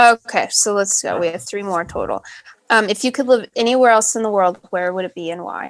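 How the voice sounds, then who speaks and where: With an ordinary speaking voice at a medium pitch, a woman talks at a fairly quick pace. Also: ordinary pitch variation. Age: 30s. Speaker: podcast host. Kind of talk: casual chat.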